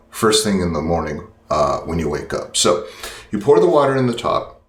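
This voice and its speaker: Audible room echo surrounds this speaker. He is a man talking at a fairly quick pace. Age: 60s. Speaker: product demonstrator, channel host. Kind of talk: tutorial. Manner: casual, many fillers.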